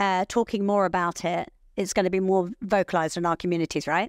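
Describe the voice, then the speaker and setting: A woman with a British accent at a medium pitch and fairly quick pace, dry and close with no echo, on a very clean recording with a silent background. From England. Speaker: podcast host. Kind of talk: podcast interview. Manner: loud.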